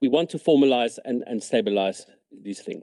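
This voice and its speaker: A man with a non-native accent talks at a fairly quick pace with lively intonation. The sound is dry and close, with no echo. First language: not English. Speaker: provincial cabinet minister. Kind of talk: committee hearing testimony. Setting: committee room.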